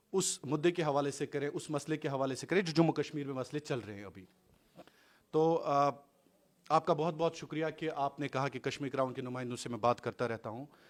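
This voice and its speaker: A man with a fairly high pitch talks with ordinary pitch variation and big swings in loudness. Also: moderate pace. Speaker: interviewer, journalist. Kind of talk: confrontational interview. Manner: loud, forceful.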